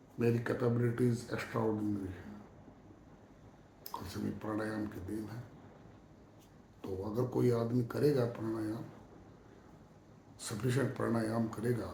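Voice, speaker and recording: A man at medium pitch talks in a monotone, flat intonation with long, frequent pauses, and audible room echo surrounds him. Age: 60s. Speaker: yoga practitioner sharing health advice. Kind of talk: monologue talk to camera.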